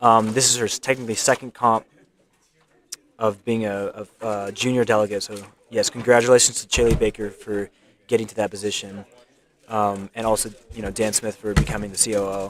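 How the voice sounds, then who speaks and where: A man mumbles at a fairly quick pace in a fairly low, monotone voice with flat intonation. Long pauses come often. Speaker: live stream commentator at a speedcubing competition. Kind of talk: live stream commentary. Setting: live stream at a competition venue. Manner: mumbling; halting.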